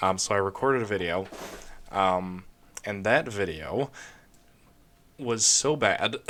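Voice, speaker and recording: A man with a fairly low pitch and a bright, sharp tone speaks fairly slowly with ordinary pitch variation. Long pauses come often. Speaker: gaming video creator. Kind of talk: let's play commentary. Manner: halting, many fillers.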